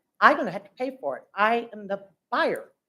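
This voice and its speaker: A woman speaks with an American accent. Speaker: resident speaking at public comment. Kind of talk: public comment at council meeting. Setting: city council meeting room. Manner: loud; halting, many ums.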